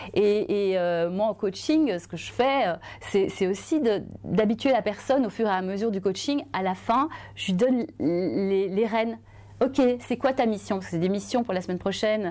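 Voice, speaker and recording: A woman speaks at a moderate pace with lively intonation. Her tone is dark and mellow, and her pitch sits in the medium range. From Belgium. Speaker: journalist and author; journalist. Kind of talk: testimony. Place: studio. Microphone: lapel.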